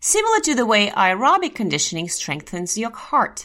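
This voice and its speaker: A woman's bright, sharp voice with a Russian accent. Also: very clean recording, silent background. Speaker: health podcast host. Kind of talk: educational podcast monologue.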